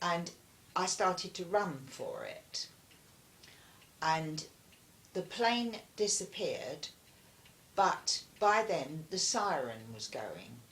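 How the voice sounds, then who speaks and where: A woman with a southern English accent, medium-pitched, with lively intonation, a very slow pace and long, frequent pauses. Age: 80s+. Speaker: war witness. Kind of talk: interview answer.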